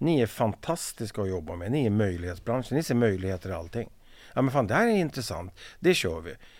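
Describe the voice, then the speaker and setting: Here a man speaks at a fairly quick pace and a medium pitch. His pitch swings very widely, in a very clean recording with a silent background. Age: 50s. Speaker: veteran of the tool and machinery industry. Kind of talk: casual interview.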